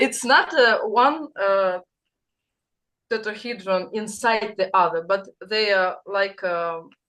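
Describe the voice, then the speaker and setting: A woman with a Russian accent and a bright, sharp tone, at a very slow pace with long, frequent pauses, over a quiet background. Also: medium pitch for a woman, ordinary pitch variation. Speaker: participant in spiritual group session. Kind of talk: sharing in group video call. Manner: halting, searching for words.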